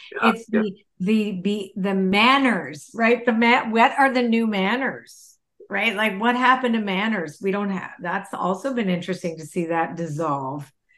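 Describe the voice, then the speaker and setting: A woman speaks at a moderate pace with hardly any pauses, in an ordinary speaking voice. Her medium pitch carries lively intonation. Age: 60s. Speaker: person in recovery. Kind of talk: casual chat.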